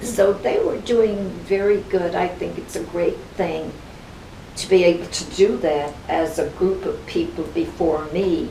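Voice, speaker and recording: Fairly slow speech from a woman, amid noticeable background noise and audible room echo. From Ireland, County Kerry. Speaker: club member, Irish immigrant. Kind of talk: interview, reminiscing. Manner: animated.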